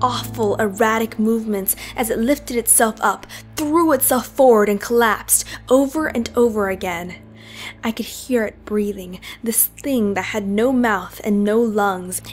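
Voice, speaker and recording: Music plays behind a woman whose fairly high voice moves at a fairly slow pace. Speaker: amateur narrator. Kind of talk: horror story reading.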